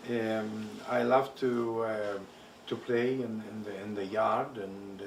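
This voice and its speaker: Hungarian accent, audible room echo and noticeable background noise. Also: man. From Transylvania, Romania (Hungarian-speaking). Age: 70s. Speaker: Holocaust survivor. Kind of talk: oral history interview. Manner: halting, many fillers.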